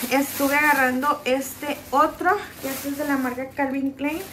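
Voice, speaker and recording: With light noise behind her, a woman speaks at a fairly slow pace in a high voice. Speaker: haul vlogger. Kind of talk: casual vlog chat. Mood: cheerful, chatty. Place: home room. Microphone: phone near.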